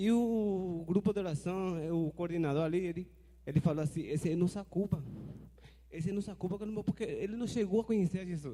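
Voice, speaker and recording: A man with a high-pitched voice moves at a fairly quick pace, his pitch varying in an ordinary way. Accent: Spanish. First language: Spanish (speaking Portuguese). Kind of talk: audience question at forum.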